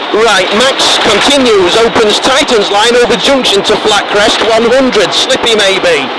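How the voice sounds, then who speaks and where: A man talks over loud background noise, hardly pausing. The sound is dry, with no echo. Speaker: rally co-driver. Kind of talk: rally pace notes read aloud. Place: car. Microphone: helmet.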